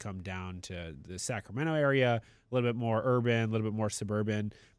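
A normal speaking voice moves at a fairly quick pace with ordinary pitch variation. The recording is very clean, its background silent. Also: man. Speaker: podcast host. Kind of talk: casual chat. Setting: studio.

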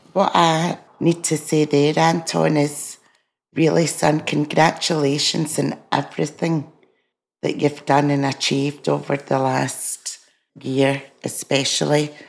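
A woman with a Scottish accent speaks at a very deep, low pitch with vocal fry. Her intonation is monotone and flat, her loudness very even, and her pace fairly slow. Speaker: podcast co-host, mother. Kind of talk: casual chat. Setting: video call.

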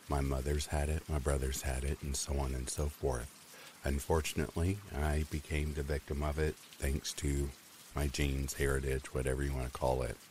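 A man's very deep, low voice with a warm tone, somewhat breathy, at a moderate pace with fairly even intonation. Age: 30s. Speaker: horror story narrator. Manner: warm and chatty, with occasional laughs.

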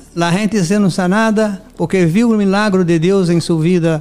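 Over noticeable background noise, a man with a Brazilian accent speaks at a high pitch with fairly even intonation. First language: Portuguese (speaking Spanish). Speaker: pastor. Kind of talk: testimony. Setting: studio.

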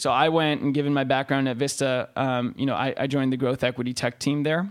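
In an American accent, a man speaks at medium pitch and a very fast pace in a very clean recording with a silent background. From Los Angeles, California. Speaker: tech and finance investor. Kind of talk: interview. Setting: conference room.

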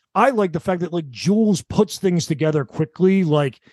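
Over a quiet background, a man talks at a moderate pace in a normal speaking voice, captured with a dry, close sound and no echo. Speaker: podcast co-host. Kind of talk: casual podcast discussion of a TV show.

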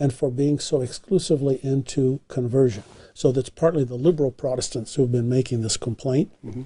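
A man's somewhat breathy, fairly high-pitched voice with a dark, mellow tone and ordinary pitch variation. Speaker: historian. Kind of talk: long-form interview.

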